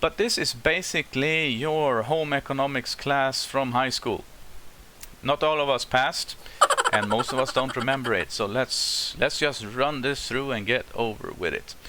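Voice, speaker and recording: At a moderate pace, a man with a fairly high pitch and ordinary pitch variation speaks over noticeable background noise. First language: not English. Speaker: YouTuber giving life advice. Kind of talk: casual explainer vlog. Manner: enthusiastic.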